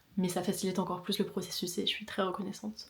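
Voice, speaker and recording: A woman's medium-pitched voice races along very fast. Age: 20s. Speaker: vlogger, communications student. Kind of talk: casual vlog talk to camera.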